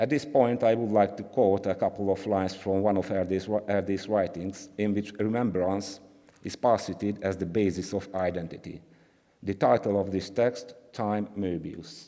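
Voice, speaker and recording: Speaking with a Hungarian accent, a man has a fairly low pitch and a dark, mellow tone. He keeps a moderate pace and fairly even intonation. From Hungary. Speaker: art historian. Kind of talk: conference talk. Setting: conference with audience. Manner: halting; reading from script.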